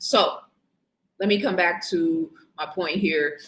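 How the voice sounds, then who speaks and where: A woman's fairly low voice, showing ordinary pitch variation, unfolds at a fairly slow pace. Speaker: livestream host on spiritual and conspiracy topics. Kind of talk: live stream talk. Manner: animated.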